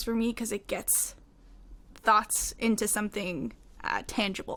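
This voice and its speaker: At a moderate pace, a woman with a Newfoundland accent speaks at a fairly high pitch with fairly even intonation. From Newfoundland, Canada (Mount Pearl). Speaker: singer-songwriter. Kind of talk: interview.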